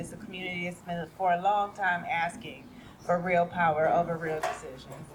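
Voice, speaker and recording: A soft-spoken woman talks at a moderate pace. There is noticeable background noise. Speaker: participatory budgeting program manager. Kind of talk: speech at community event. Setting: event stage with audience.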